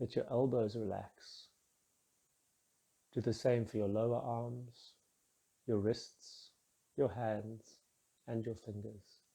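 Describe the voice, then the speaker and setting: Somewhat breathy and calm, a man speaks at a very slow pace with long, frequent pauses. His medium-pitched voice has a dark, mellow, soothing tone and a monotone, flat intonation. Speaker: meditation guide. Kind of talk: guided meditation. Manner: slow, calm, soothing.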